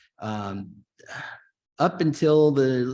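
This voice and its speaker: Against a quiet background, a man speaks with a Kentucky accent and lively intonation. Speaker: policy expert on interstate compacts. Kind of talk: conference presentation. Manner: casual with frequent fillers.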